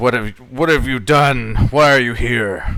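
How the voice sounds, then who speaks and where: A man's growling put-on character voice at a medium pitch and moderate pace, with ordinary pitch variation, over clear background noise. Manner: angry, demanding.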